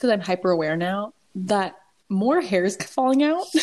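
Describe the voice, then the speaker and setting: Fairly high female speech, its pitch ranging very widely. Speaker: podcast co-host. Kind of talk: casual chat.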